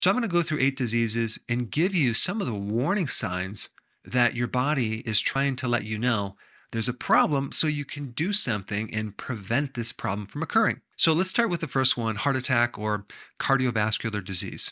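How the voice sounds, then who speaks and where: Against a quiet background, a man speaks at a moderate pace with a bright, sharp tone. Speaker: health educator. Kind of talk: explanatory health talk to camera. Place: home room.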